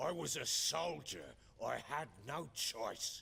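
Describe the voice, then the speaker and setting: A man uses a put-on character voice that sounds raspy and fairly high. He speaks at a fairly slow pace. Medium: video game. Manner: gruff, coarse, swearing.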